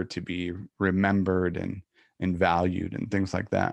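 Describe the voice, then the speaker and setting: A fairly slow delivery in an American accent over a quiet background. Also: man. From US South, South Florida. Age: 40s. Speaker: leadership coach and podcast host, military veteran. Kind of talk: casual interview conversation. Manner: halting, many fillers and repetitions.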